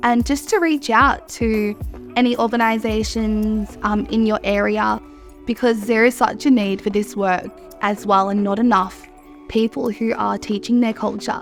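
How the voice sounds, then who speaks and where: Music in the background behind a woman with an Australian accent, fairly high in pitch, at a moderate pace with ordinary pitch variation. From Mornington Peninsula, Victoria, Australia. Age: 20s. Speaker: cultural educator. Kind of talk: interview answer.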